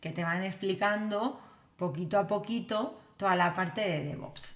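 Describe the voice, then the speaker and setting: In a strong Spanish accent, a woman speaks fairly slowly at a medium pitch. Her pitch varies in an ordinary way, and room echo is audible. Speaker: developer educator. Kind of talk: live stream tutorial. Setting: live stream. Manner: casual, many fillers. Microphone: new computer setup, mic may not sound right.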